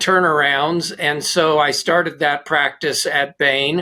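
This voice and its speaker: A man is speaking here. His tone is bright and sharp. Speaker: management consultant and author. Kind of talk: interview conversation.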